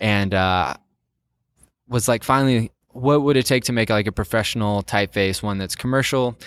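An ordinary speaking voice with ordinary pitch variation moves at a moderate pace in a very clean recording with a silent background and a dry, close sound with no echo. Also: man, fairly low pitch for a man. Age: 20s. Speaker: type designer and board game publisher. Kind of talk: casual interview chat.

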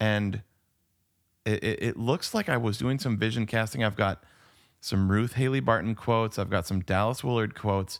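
A man speaks in a plain, everyday voice. His loudness stays very even, his intonation fairly even, at a moderate pace. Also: fairly low pitch for a man. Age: 40s. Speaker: podcast co-host. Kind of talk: casual chat. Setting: remote recording.

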